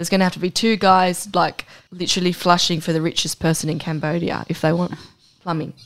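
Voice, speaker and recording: This woman talks at a very fast pace in an Australian accent. Her pitch sits fairly low. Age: 30s. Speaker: podcast co-host. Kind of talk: casual chat. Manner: animated.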